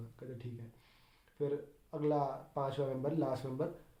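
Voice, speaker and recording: The pace is moderate. Audible room echo is present. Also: man. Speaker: bank exam candidate, YouTuber. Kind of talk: casual personal account. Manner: casual, mixes Hindi and English.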